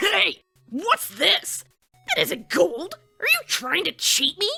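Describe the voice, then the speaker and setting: A put-on character voice, shouting at an extremely high pitch at a fairly slow pace, with music in the background. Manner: angry, shouting.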